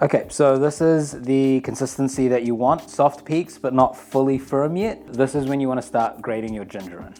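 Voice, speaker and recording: A man's relaxed, medium-pitched voice at a moderate pace, ordinary pitch variation and hardly any pauses, over noticeable background noise. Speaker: channel owner's brother, home baker. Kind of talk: cooking tutorial. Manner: casual, relaxed.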